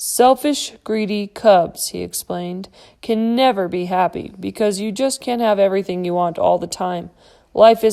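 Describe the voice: The delivery is plain reading aloud, and the pitch varies in an ordinary way.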